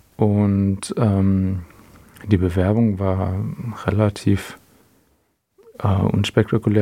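This man talks with a fairly low pitch. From Swabia, near Stuttgart. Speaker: photographer and podcast co-host. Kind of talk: interview, casual chat.

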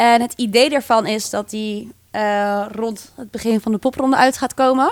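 With a normal speaking voice, a woman talks at a fairly high pitch with fairly even intonation in a very clean recording with a silent background. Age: 20s. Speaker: band frontwoman. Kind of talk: casual interview.

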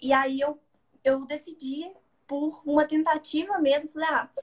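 A woman talks fairly slowly in a high pitch with ordinary pitch variation. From Belo Horizonte, Minas Gerais, Brazil. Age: 20s. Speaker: university student and parliamentary aide. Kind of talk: casual interview.

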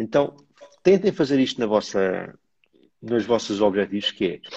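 This man talks at a fairly slow pace. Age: 30s. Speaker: live stream host. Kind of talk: casual chat. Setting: live stream.

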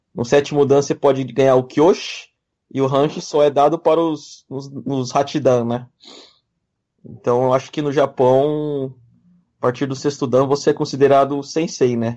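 A man speaks in a fairly high pitch with a dark, mellow tone and flat, monotone intonation. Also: moderate pace. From Brazil, of Japanese descent. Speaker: kendo practitioner, podcast co-host. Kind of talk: casual chat.

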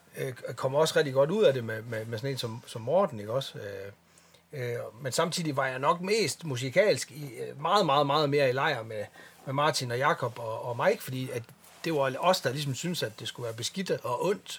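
A man talks at a moderate pace in an ordinary speaking voice, fairly high in pitch with ordinary pitch variation. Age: 40s. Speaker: metal bassist. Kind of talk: casual chat.

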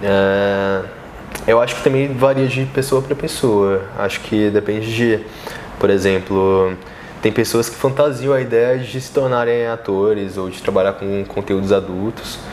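Noticeable background noise sits behind a man who talks fairly slowly at a fairly low pitch, with ordinary pitch variation and big swings in loudness. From Brasília, Brazil. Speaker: adult content creator. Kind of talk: casual interview.

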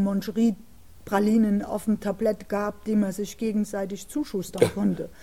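This woman's voice is somewhat breathy and medium in pitch. Its tone is dark and mellow. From East Germany, Jena, Thuringia. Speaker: author and former political prisoner, contemporary witness. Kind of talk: interview conversation. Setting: city library recording. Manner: halting, with many filler sounds.

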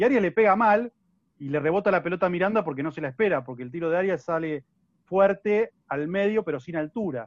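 A man speaks very fast in a high voice with lively intonation, recorded dry and close with no echo. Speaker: sports journalist. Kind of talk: casual football analysis chat.

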